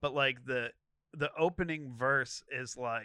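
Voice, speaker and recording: Against a quiet background, a man of medium pitch speaks at a fairly slow pace in a bright, sharp tone. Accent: American. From Moon Township, Pittsburgh area. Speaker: podcast guest. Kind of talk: casual chat. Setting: studio.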